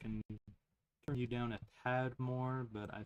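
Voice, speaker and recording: A man speaks quietly at a moderate pace. His intonation is monotone and flat. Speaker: gaming streamer. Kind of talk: live game stream chat. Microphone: quiet stream audio.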